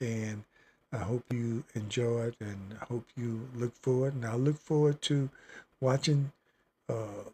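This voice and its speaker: A man with an American accent sounds somewhat breathy in a dry, close recording with no echo. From Virginia. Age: 70s. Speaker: livestreamer. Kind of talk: casual chat. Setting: home studio livestream. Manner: halting.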